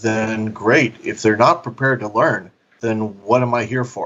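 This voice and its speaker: Ordinary pitch variation marks a man's speech at a medium pitch. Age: 60s. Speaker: adult industry business consultant. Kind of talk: interview. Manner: halting.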